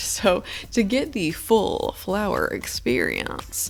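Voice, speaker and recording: A woman talks over noticeable background noise. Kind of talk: game tutorial narration. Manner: casual, joking.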